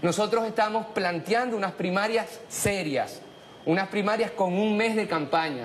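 A man's high-pitched voice at a fairly slow pace, with very even loudness, ordinary pitch variation and light background noise. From Venezuela. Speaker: political commentator. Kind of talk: panel discussion. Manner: formal. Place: studio. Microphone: lapel.

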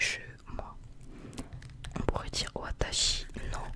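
A woman whispers at a very slow pace. Her tone is relaxed. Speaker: ASMR content creator acting as a Japanese teacher. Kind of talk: ASMR roleplay lesson for sleep. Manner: soft, slow, relaxed, casual. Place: home room. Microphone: studio mic.

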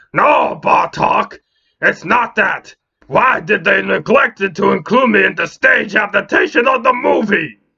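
Putting on a character voice, a man speaks high and raspy in a raised, projected voice, at a fairly slow pace with very even loudness. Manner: irritable, indignant.

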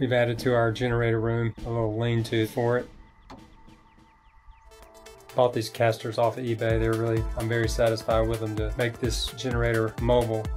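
Speech at a fairly quick pace plays over music in the background. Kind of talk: tutorial narration.

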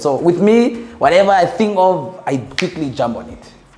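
A man's fairly high voice at a moderate pace, with very wide pitch swings. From northern Namibia. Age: young. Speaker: entrepreneur and visual artist; interviewee. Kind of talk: casual interview. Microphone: lapel.

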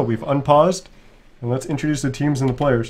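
A man speaks at a medium pitch and a fairly quick pace. His voice is somewhat breathy. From Canada. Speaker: esports caster. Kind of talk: live commentary.

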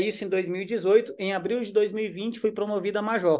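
Against a quiet background, a man with a high-pitched voice speaks with fairly even intonation. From Brazil. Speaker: army officer and essential oils distributor; presenter. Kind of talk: sales pitch. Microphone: webcam.

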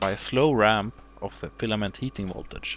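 Here a man speaks with a Swedish accent at a fairly low pitch. His pace is fairly quick, and vocal fry shows up in his voice. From Sweden. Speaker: hobbyist science demonstrator. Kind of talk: tutorial. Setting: living room at home. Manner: formal.

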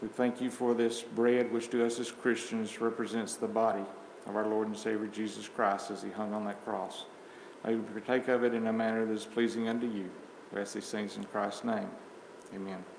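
Amid light background noise and audible room echo, a man talks at a fairly quick pace in a monotone, flat delivery. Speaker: church member leading communion. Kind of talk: prayer and scripture reading. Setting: church. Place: church. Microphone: camera far.

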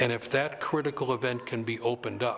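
Here a man talks at a moderate pace. His intonation is monotone and flat, with light background noise. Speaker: retreat facilitator, storyteller. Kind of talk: interview answer. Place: studio.

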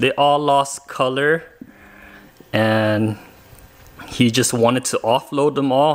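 Using fairly even intonation, a man talks at a fairly slow pace. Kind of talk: casual vlog chat. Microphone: phone near.

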